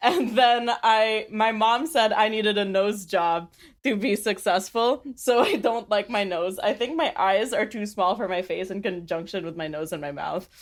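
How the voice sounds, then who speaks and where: The tone is animated, with ordinary pitch variation, a moderate pace and hardly any pauses. The recording is very clean, with a silent background. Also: woman, fairly high pitch for a woman. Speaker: podcast co-host. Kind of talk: casual chat.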